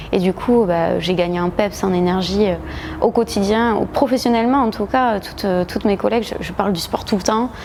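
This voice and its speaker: A woman with a southwestern French accent at a medium pitch and moderate pace, ordinary pitch variation, and noticeable background noise. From southwest France, Agen. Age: 30s. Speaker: gym member, lawyer. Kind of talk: testimonial interview. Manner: hesitant, many fillers.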